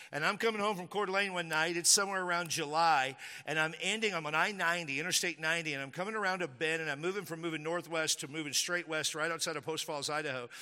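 In a very clean recording with a silent background, a man with an American accent talks very fast in a high, bright, sharp voice and an animated tone. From Texas. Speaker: pastor. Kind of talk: sermon. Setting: church. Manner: animated, forceful preacher in full flow, building with repeated phrases; casual, joking, conversational.

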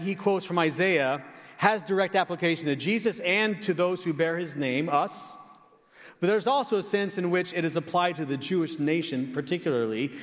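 There is noticeable background noise behind a man speaking at a fairly quick pace. His pitch is high, with ordinary variation. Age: 50s. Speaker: pastor. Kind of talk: sermon.

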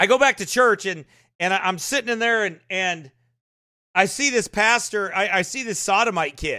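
Raised, projected male voice, high in pitch with ordinary variation, bright and sharp in tone, animated and passionate. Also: moderate pace. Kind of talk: live sermon-style commentary. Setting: live online broadcast. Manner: animated, passionate, preachy.

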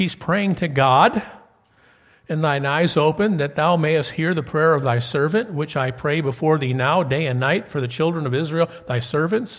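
A man's fairly high pitch and an ordinary speaking voice, at a moderate pace with ordinary pitch variation. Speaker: preacher. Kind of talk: sermon. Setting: church.

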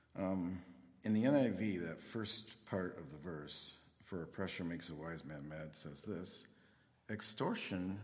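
A man's very deep, low voice at a fairly slow pace, with ordinary pitch variation and audible room echo. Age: 60s. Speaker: Bible teacher. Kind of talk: sermon.

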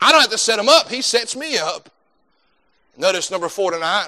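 A man's raised, projected voice, high in pitch, with a bright, sharp tone. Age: 30s. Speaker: pastor. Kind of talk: sermon.

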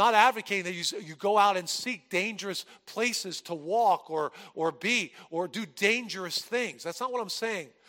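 Using a raised, projected voice, a man speaks at a high pitch with a bright, sharp tone. He has an American accent and keeps a moderate pace. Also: ordinary pitch variation. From New Jersey. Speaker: pastor. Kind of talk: sermon.

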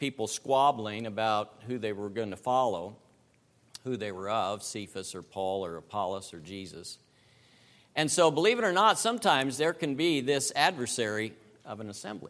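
A man with an American accent has an ordinary speaking voice, lively intonation and a moderate pace. His loudness swings widely in a very clean recording with a silent background. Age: 60s. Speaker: preacher. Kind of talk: sermon.

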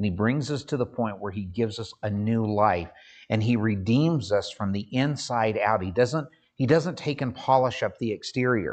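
Here a man speaks at a moderate pace and medium pitch, with ordinary pitch variation. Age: 50s. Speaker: pastor. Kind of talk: sermon. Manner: halting.

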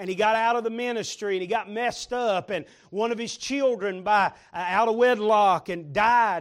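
This man talks at a moderate pace, his high-pitched voice showing ordinary pitch variation. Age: 50s. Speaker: visiting preacher. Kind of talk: sermon.

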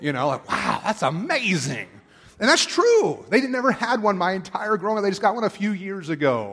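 Using an American accent, a man talks with very wide pitch swings. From Pennsylvania, Perry County (rural). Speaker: pastor. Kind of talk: sermon. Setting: church.

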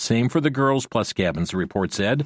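Using a normal speaking voice, a man of medium pitch talks at a fairly quick pace with lively intonation. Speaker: radio talk show host. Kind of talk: news commentary on call-in radio. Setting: studio.

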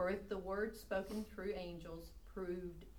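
At a moderate pace, a woman with a fairly low pitch speaks in a plain, everyday voice. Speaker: Bible study participant. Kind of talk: group Bible study discussion.

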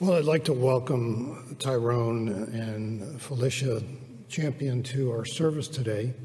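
With ordinary pitch variation, a man's voice comes out somewhat breathy. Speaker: church elder introducing the speaker. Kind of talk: welcome and introduction.

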